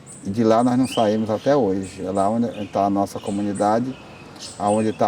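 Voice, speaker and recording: A man with a fairly low pitch and fairly even intonation at a moderate pace, over noticeable background noise. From Brazil, Acre (Amazon rubber region). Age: 60s. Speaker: rubber tapper union leader. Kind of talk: interview testimony.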